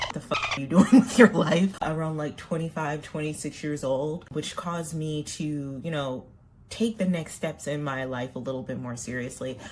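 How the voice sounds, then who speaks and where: With an American accent, a woman speaks at a moderate pace in a very deep, low voice. Her intonation is lively, and her loudness swings a lot. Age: 30s. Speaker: makeup vlogger. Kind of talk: casual chat while doing makeup.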